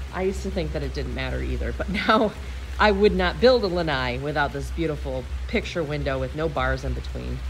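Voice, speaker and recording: Light background noise sits under the voice. The pace is fairly quick. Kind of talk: home tour narration. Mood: enthusiastic, admiring. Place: garden. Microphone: phone near.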